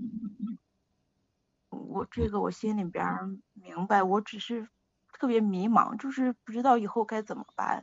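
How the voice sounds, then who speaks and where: Speaking at a fairly slow pace, a woman with a fairly high pitch sounds somewhat breathy, her intonation fairly even. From Shandong, China. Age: 40s. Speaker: caller. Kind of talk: call-in advice chat. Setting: phone call. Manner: halting.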